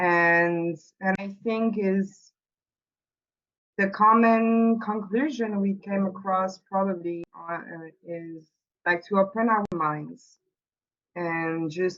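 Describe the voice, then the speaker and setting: In a French accent, a woman with a medium pitch talks at a very slow pace, her intonation fairly even. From France. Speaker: workshop participant. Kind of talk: group discussion report-back. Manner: halting, many fillers.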